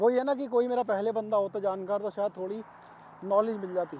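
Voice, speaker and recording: Using fairly even intonation, a man talks at a moderate pace in a high voice. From India, Ghaziabad (Uttar Pradesh). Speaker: vlogger. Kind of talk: casual vlog monologue. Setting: outdoors, walking. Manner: casual, conversational.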